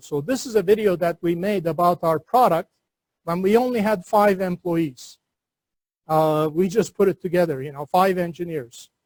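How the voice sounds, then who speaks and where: A high-pitched man is heard in a dry, close recording with no echo. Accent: Turkish. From Turkey. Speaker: entrepreneur and university lecturer. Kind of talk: seminar lecture. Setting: classroom seminar with webinar audience.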